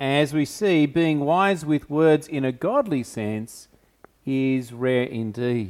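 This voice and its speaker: This is a man speaking. He has an unremarkable speaking voice. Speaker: pastor. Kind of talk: sermon. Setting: church.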